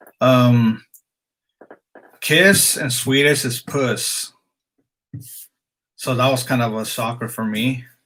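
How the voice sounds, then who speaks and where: A man's medium-pitched, bright, sharp voice at a very slow pace, with fairly even intonation and long, frequent pauses. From Mexican heritage, moved a lot as a child. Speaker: streamer. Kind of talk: casual live stream chat. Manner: casual with many fillers.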